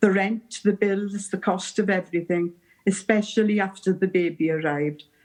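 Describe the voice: Someone gives a plain read-aloud of the text.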